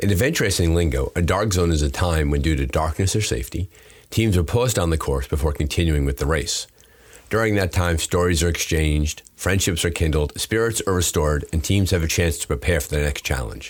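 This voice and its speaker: Very deep and low in pitch, a man talks at a fairly quick pace with vocal fry and ordinary pitch variation. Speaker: podcast host. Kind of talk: podcast intro read.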